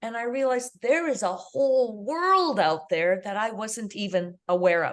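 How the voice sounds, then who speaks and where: A woman with a Canadian accent talks at a moderate pace against a quiet background. It is a plain, everyday voice, medium in pitch, with lively intonation. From Canada. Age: 60s. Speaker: international school teacher. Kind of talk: interview conversation.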